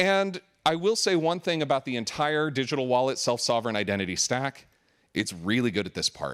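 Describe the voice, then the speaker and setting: A loud man's voice at medium pitch, fairly quick, with very wide pitch swings on a very clean recording with a silent background. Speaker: conference speaker, software architect. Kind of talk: conference talk. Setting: stage with audience.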